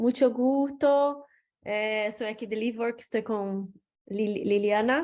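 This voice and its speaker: A woman with a non-native accent speaks very slowly at a fairly high pitch. Her intonation stays fairly even. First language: not Spanish (speaking Spanish). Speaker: coworking staff member. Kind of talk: audience question. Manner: halting.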